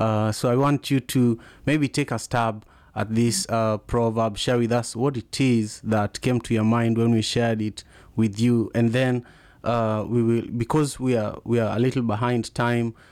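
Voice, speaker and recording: A man with a strong Kenyan accent speaks at a fairly slow pace. His loudness is very even and his intonation monotone and flat. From Kenya (Kisumu). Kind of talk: live interview and call-in show. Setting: live audio room and video stream.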